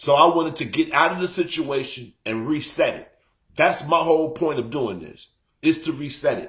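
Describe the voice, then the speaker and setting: A man's fairly high voice at a moderate pace, with ordinary pitch variation and big swings in loudness. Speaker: live-stream host. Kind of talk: casual chat.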